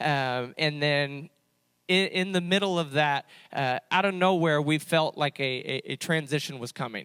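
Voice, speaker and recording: A man speaks with a fairly high pitch, a bright, sharp tone and ordinary pitch variation. The recording is very clean and silent behind him, with a dry, close sound and no echo. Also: moderate pace. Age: 20s. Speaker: youth pastor. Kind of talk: testimony. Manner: halting, many fillers.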